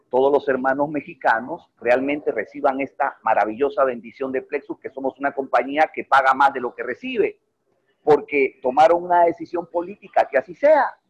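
Recorded dry and close with no echo, a man talks at a moderate pace, his fairly high pitch showing ordinary variation. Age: 50s. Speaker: network marketing leader. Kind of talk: online mentoring presentation. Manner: animated.

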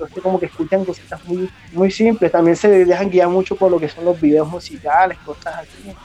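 A man speaks at a fairly quick pace in a high pitch, his intonation fairly even, over noticeable background noise. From Colombian Caribbean coast, Cereté, Córdoba. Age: 30s. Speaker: chef, metal fan. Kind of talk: casual interview.

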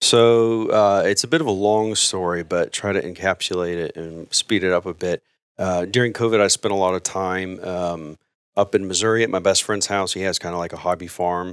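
The speaker has an American accent and keeps a moderate pace. The sound is dry and close with no echo, on a very clean recording with a silent background. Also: man, very deep, low pitch for a man, fairly even intonation. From South Texas. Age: 30s. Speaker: man of faith sharing his life story. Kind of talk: casual interview, personal testimony. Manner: halting, with many fillers.

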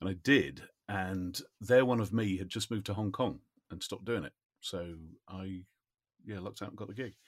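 A southern English accent at a moderate pace, with ordinary pitch variation, big swings in loudness, and long, frequent pauses. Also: man, fairly low pitch for a man. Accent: southern English, RP-like. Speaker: voice-over actor and musician. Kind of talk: casual chat.

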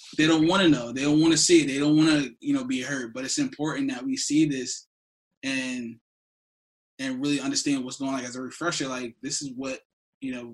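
Using an ordinary speaking voice, a man with an American accent talks at a fairly quick pace in a fairly high pitch, with fairly even intonation. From New Jersey. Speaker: podcast co-host. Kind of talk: casual chat.

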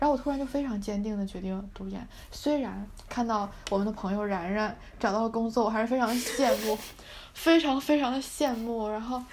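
A woman's somewhat breathy, fairly high voice, with ordinary pitch variation and audible room echo. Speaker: university student podcast host. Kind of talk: casual chat.

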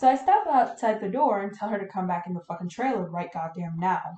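A woman talks at a fairly quick pace in a medium pitch. Her tone is animated, with ordinary pitch variation. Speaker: podcast co-host. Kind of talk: ghost story reading aloud. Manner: animated, casual, swearing-heavy retelling.

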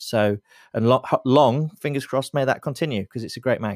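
Captured in a very clean recording with a silent background and a dry, close sound with no echo, a man speaks with ordinary pitch variation in an English accent. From England, Lincoln. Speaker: beer writer and photographer. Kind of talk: casual interview. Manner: halting, repeats words.

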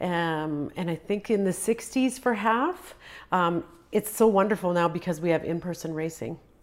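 In a Canadian accent, a plain, everyday voice moves at a moderate pace over a very clean recording with a silent background. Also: woman, fairly low pitch for a woman, ordinary pitch variation. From western Canada. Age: 50s. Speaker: amateur marathon runner. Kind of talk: casual interview.

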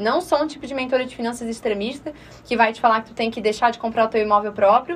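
A woman speaks in a Florianópolis accent. There is noticeable background noise. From Florianópolis, southern Brazil. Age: 20s. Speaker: personal finance mentor. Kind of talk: radio interview. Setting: radio studio.

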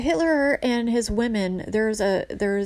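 Simply plain reading aloud

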